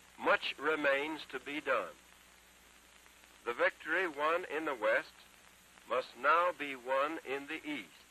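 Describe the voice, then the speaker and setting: An American man speaks at a very slow pace in a solemn tone, his fairly high pitch held to fairly even intonation, with long, frequent pauses and noticeable background noise. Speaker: US president giving a radio address. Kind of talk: solemn historic speech. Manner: solemn, measured.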